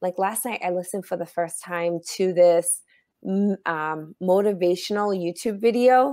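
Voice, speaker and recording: Recorded very cleanly over a silent background, a woman speaks at a medium pitch in an unremarkable speaking voice. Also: ordinary pitch variation, moderate pace. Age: 40s. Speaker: author and motivational speaker. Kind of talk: casual interview chat.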